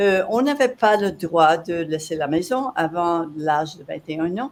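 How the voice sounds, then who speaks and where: This woman's pitch is fairly low. Her intonation is lively. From French Canada (Quebec). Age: 70s. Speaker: entrepreneur and coach. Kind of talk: podcast interview. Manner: halting, repeats words.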